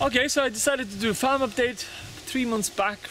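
A man's raised, projected voice at a fairly quick pace, dry with no echo, over light background noise. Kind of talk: casual vlog chat. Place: garden. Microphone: phone near.

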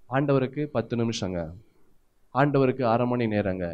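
This man has a plain, everyday voice at a medium pitch. His pitch variation is ordinary. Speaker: pastor, preacher.

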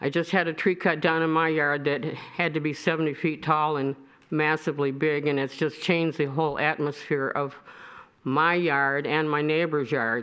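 Monotone, flat intonation in a Michigan accent. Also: woman, very deep, low pitch for a woman, moderate pace. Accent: US Midwest (Michigan). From Michigan, Royal Oak. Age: 70s. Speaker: resident speaking at public comment. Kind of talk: public comment at city meeting.

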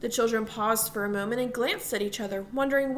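The clip features a natural reading voice. Its pitch shows ordinary variation.

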